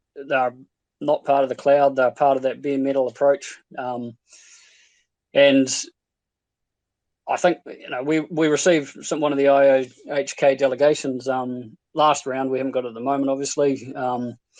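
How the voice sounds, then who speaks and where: In a New Zealand accent, a man with a fairly high pitch speaks at a moderate pace, with monotone, flat intonation and long, frequent pauses. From New Zealand, Invercargill, South Island. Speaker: stake pool operator. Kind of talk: casual chat. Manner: halting, many fillers.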